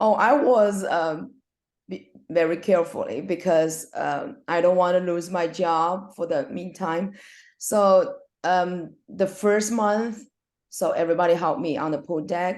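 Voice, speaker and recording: With a Chinese accent, a woman talks at a fairly slow pace in a fairly low pitch. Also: ordinary pitch variation. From China. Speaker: swim coach, former elite swimmer. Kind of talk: casual interview. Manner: halting.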